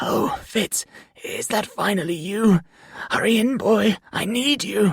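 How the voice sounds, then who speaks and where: In a put-on character voice, the speaker goes at a fairly slow pace, fairly high in pitch, shaky and raspy. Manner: desperate, pleading.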